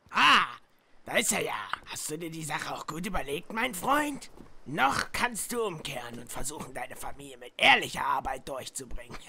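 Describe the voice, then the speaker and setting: A put-on character voice speaks at a moderate pace. The pitch sits in the middle range. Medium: machinima. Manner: gruff, commanding.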